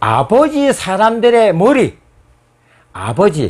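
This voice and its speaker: Very wide pitch swings in a man's very slow delivery. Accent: Gyeongsang. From South Korea, Busan (Gyeongsang). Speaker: history lecturer. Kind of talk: lecture.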